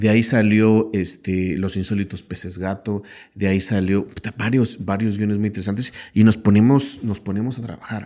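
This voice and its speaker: Against a quiet background, a man with a Mexican accent speaks at a moderate pace, his fairly low voice dark and mellow in tone with fairly even intonation. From Mexico. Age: 40s. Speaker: filmmaker and screenwriter; podcast guest. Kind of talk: casual interview. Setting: in-person recording. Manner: halting, many repetitions. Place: studio. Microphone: studio mic.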